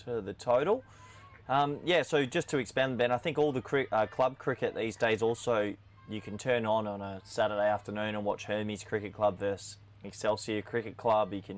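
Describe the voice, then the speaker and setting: A man speaks with a slight Australian accent at a moderate pace. His pitch is fairly low, with ordinary variation. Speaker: cricket commentator. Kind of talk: live commentary. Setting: commentary box, alone with screens. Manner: animated.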